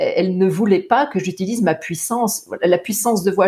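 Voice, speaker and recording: Somewhat breathy and dark, mellow in tone, a woman's medium-pitched voice shows ordinary pitch variation. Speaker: singer and voice teacher. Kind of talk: interview. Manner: halting.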